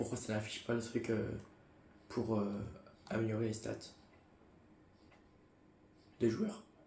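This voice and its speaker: A man's put-on character voice, hoarse and medium-pitched, with monotone, flat intonation, a fairly slow pace, long, frequent pauses and audible echo. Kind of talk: casual gaming commentary.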